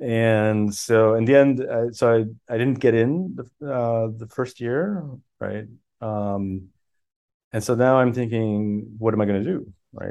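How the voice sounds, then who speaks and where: A man with a French accent speaks fairly slowly in a dark, mellow tone at a medium pitch, with ordinary pitch variation. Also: big swings in loudness. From Miami, Florida. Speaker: professor and author. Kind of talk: casual interview chat. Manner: hesitant, many fillers.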